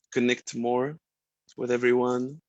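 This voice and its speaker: A medium-pitched man with an Arabic accent. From Egypt. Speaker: sound healer and musician. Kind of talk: self-introduction in a group video call. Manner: halting, many fillers.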